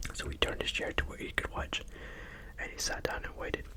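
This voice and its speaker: A fairly quick whisper comes through over noticeable background noise. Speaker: ASMR YouTuber reading scary stories. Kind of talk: ASMR horror story reading. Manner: whispered, soft.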